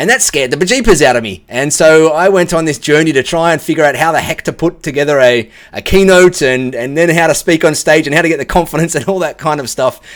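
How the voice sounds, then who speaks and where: A man talks at a very fast pace in a fairly high pitch. His pitch variation is ordinary. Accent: Australian. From Australia. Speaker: tech professional giving client testimonial. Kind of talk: video testimonial. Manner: casual, many filler words.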